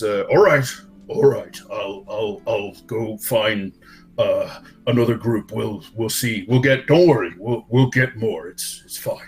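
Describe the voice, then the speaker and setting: A man puts on a guttural character voice at a medium pitch, speaking at a very slow pace. Long, frequent pauses break it up while faint music plays in the background. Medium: actual play.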